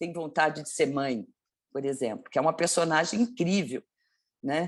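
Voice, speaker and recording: Against a quiet background, a woman speaks in an ordinary speaking voice, fairly low in pitch, with lively intonation. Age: 60s. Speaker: actress. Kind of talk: interview.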